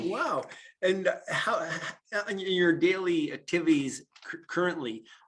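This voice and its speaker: Talking at a very slow pace, a man with a Canadian accent has a high pitch and ordinary pitch variation. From Atlantic Canada. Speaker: podcast host, realtor. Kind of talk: interview. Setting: video call.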